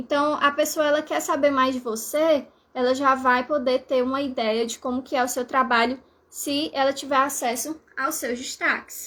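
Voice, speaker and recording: At a moderate pace, a woman speaks with a high pitch, a bright, sharp tone and fairly even intonation. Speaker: language teacher. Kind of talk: live stream tutorial.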